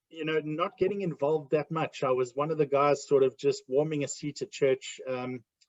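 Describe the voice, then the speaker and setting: With a South African accent, a man speaks in a fairly high voice with hardly any pauses. His intonation stays fairly even. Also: moderate pace, dry, close sound with no echo. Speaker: ministry ambassador. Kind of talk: interview testimony. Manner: hesitant, many fillers.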